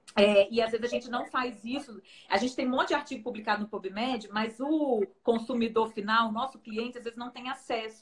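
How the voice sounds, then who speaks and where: Ordinary pitch variation runs through talk delivered fairly quickly. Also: woman. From Brazil. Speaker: nutritionist and researcher. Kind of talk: live-stream interview. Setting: Instagram live video. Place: home room.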